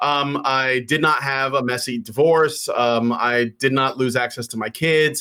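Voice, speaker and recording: With a bright, sharp tone and an American accent, a man talks at a medium pitch. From Chicago, West Side. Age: 40s. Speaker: podcast tech producer. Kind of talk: casual interview chat.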